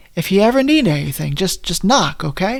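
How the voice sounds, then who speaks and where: Putting on a raspy character voice, a man talks fairly quickly at a high pitch with very wide pitch swings. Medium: read story. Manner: jovial.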